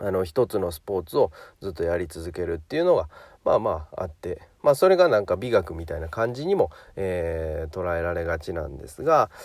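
A man's relaxed, fairly quick speech with big swings in loudness, on a very clean recording with a silent background. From Japan, Hyogo. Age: 30s. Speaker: personal trainer. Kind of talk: podcast monologue. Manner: relaxed, many fillers.

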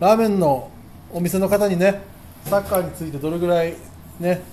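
The speech moves along fairly quickly. Behind it, background noise is noticeable. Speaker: comedian and football podcast host. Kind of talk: casual chat. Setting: ramen shop. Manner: eating while talking.

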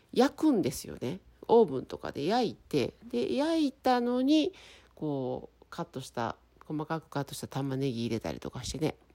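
A voice with big swings in loudness moves at a moderate pace over a very clean recording with a silent background. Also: woman. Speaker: podcaster. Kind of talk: casual solo talk. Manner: clear, crisp delivery.

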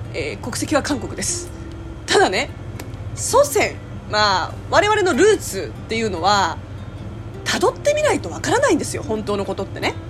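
The speech moves at a moderate pace with long, frequent pauses. Music plays in the background. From South Korea. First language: Korean (speaking Japanese). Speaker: podcaster and voice actor. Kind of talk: casual solo talk. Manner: laughs often.

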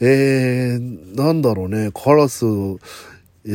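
The man speaks at a very slow pace with ordinary pitch variation. The recording is very clean, with a silent background. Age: 40s. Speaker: comedian and solo podcast host. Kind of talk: casual solo talk.

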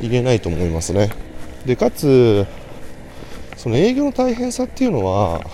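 A man speaks quietly with long, frequent pauses over noticeable background noise. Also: moderate pace. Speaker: salesman podcaster. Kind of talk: solo casual monologue. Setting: outdoors, walking to station. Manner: somewhat quiet.

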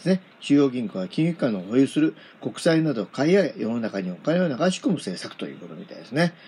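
The tone is dark and mellow. Pitch swings very widely. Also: man. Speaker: podcaster reading newspaper articles aloud. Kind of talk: reading aloud; casual commentary. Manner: hesitant, many fillers.

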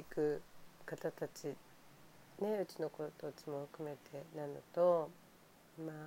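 Her tone is dark and mellow as the woman speaks fairly slowly, with long, frequent pauses and big swings in loudness. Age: 50s. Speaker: home care nurse. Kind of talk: casual monologue. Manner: animated.

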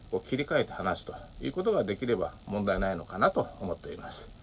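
A man speaks in a normal speaking voice with lively intonation and a fairly quick pace. His loudness swings widely. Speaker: podcaster. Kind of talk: solo monologue. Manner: many filler words.

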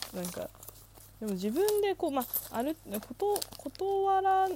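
A woman speaks with very wide pitch swings. Noticeable background noise runs under her voice. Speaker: solo podcaster. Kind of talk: casual monologue. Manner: fast; frequent laughter.

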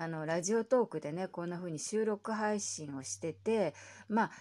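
A woman with a plain, everyday voice speaks at a medium pitch and a moderate pace with lively intonation, in a very clean recording with a silent background. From Japan. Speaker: podcaster. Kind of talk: solo casual talk.

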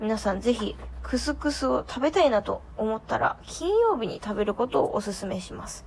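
Speech at a moderate pace comes through noticeable background noise. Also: woman. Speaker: podcast host, student abroad. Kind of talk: solo casual talk. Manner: chatty, with laughs.

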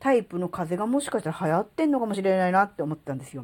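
Very wide pitch swings run through a woman's speech. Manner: rambling, filler-heavy, conversational.

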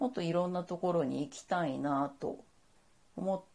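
This woman speaks at a moderate pace in a fairly low pitch, her dark, mellow tone carried by lively intonation. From Saitama, Japan. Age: 40s. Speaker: freelance model, podcaster. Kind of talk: solo monologue podcast. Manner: calm, composed; polite, formal.

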